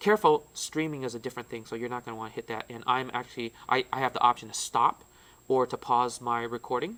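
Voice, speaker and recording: A man speaks at a moderate pace with a bright, sharp tone. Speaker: tech trainer for teachers. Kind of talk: tutorial. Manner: loud; casual, with fillers.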